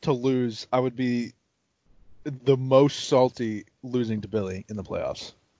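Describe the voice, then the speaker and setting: A man with a normal speaking voice talks at a fairly slow pace with fairly even intonation. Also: medium pitch for a man. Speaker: podcast co-host. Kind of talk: casual banter over beers, fantasy football talk.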